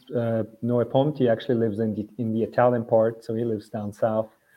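Monotone and flat in intonation, a man speaks at a medium pitch. His pace is moderate. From Switzerland. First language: German. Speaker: swimmer. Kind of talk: casual chat.

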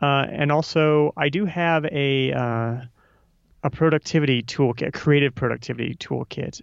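The speaker is a man with a Midwestern American accent. His intonation is fairly even. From Nebraska. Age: 30s. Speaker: author and podcaster. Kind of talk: casual interview chat. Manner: halting, many repetitions.

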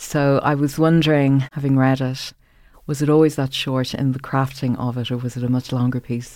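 At a moderate pace, a woman with an Irish accent speaks in a very deep, low pitch. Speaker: podcast host and interviewer. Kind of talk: interview conversation. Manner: measured, formal.

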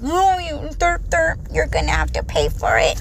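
An extremely high, put-on character voice speaks at a moderate pace over clear background noise. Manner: mocking, goofy.

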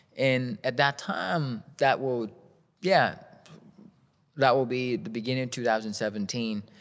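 On a very clean recording with a silent background, a man with a Vietnamese accent speaks at a medium pitch and a fairly slow pace with ordinary pitch variation. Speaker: shoe company founder. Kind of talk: interview. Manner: halting.

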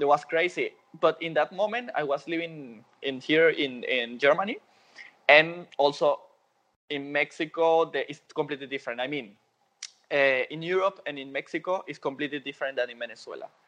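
At a moderate pace, a man with a fairly high pitch talks with ordinary pitch variation and big swings in loudness. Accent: Spanish. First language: Spanish. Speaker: dancer and dance teacher. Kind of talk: interview. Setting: phone call.

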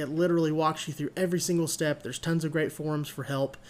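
The recording is very clean with a silent background. A man speaks with a fairly high pitch. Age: 20s. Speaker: podcast host. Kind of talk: solo podcast monologue. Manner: casual with many filler words.

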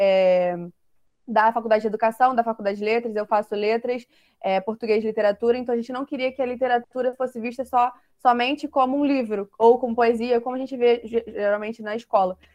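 The recording has a dry, close sound with no echo, carrying a normal speaking voice with fairly even intonation. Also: woman. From Rio de Janeiro, Brazil. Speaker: literature student, discussion host. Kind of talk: online discussion panel.

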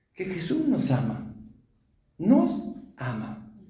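Heard with audible room echo, this man speaks with a Rioplatense accent, his tone dark and mellow and his pitch high for a man. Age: 50s. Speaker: preacher. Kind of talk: sermon.

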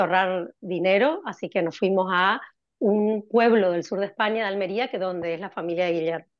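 In a plain, everyday voice, a woman talks at a fairly quick pace and medium pitch with ordinary pitch variation. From Argentina, Corrientes. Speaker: cardiologist. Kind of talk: interview.

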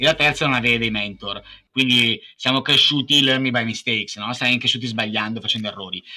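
A man with a medium pitch talks at a very fast pace. His tone is bright and sharp, with ordinary pitch variation. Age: 30s. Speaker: entrepreneur. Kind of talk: interview.

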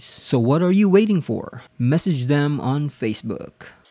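A man's fairly high voice with a dark, mellow tone and lively intonation. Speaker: podcast co-host. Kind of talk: casual chat.

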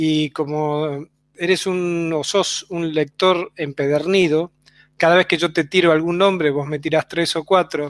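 The speaker has an Argentine accent and a monotone, flat intonation. The sound is dry and close, with no echo. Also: man, fairly high pitch for a man, fairly slow pace. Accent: Argentine Spanish (voseo). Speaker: radio host. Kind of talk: interview conversation.

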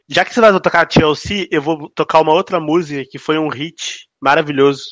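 A man speaks in a fairly high voice with an animated tone. The sound is dry and close with no echo, over a quiet background. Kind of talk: radio dj patter. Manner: animated, bantering.

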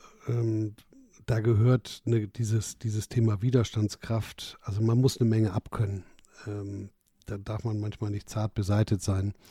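A somewhat breathy voice with a dark, mellow tone speaks at a fairly slow pace in monotone, flat intonation. The recording is very clean with a silent background. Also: man, fairly low pitch for a man, dry, close sound with no echo. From northern Germany, North Sea coast. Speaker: entrepreneur and investor. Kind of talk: casual interview.

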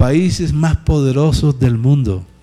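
Speaking at a very slow pace, a man has a fairly high pitch and a dark, mellow tone. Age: 60s. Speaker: pastor. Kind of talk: sermon.

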